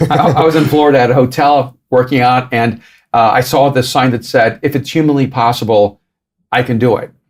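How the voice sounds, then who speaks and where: A man talks at a fairly quick pace in a medium pitch. He has a plain, everyday voice with fairly even intonation. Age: 60s. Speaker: author and pastor. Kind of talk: podcast interview.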